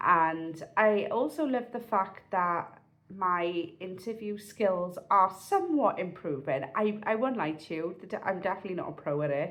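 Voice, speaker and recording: A woman's medium-pitched voice in a South Wales accent, with lively intonation, a moderate pace and hardly any pauses. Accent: South Wales Valleys English. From South Wales, Pontypridd (Rhondda Cynon Taf). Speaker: vlogger. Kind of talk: casual vlog monologue. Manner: chatty, halting with fillers and restarts.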